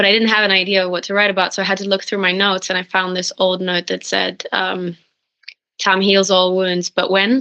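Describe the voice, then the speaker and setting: Bright and sharp in tone, this voice carries a Norwegian accent. It runs at a fairly quick pace with monotone, flat intonation. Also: woman, medium pitch for a woman. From Norway. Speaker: singer-songwriter. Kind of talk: interview.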